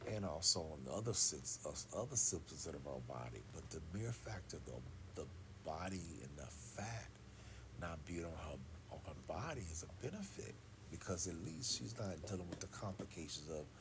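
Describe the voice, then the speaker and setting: A man speaks at a moderate pace with a very deep, low pitch and lively intonation. Audible room echo surrounds his voice. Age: 50s. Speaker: pastor. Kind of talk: casual monologue. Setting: quiet room. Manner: soft-spoken.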